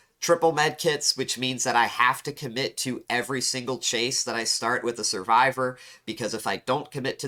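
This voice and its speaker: On a very clean recording with a silent background, a man with a bright, sharp tone speaks at a fairly quick pace and medium pitch, with ordinary pitch variation and hardly any pauses. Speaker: gaming youtuber. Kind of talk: gameplay commentary and analysis.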